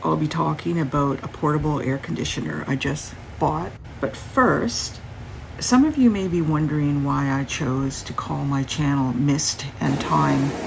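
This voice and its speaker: A woman speaks at a fairly slow pace. Room echo is audible, and background noise is noticeable. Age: 60s. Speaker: YouTuber. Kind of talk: tutorial. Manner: halting.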